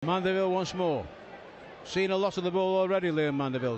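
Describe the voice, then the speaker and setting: Noticeable background noise accompanies talking that moves at a fairly quick pace. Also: man. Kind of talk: live football match commentary. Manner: excitable, rising in pitch at goals and red card.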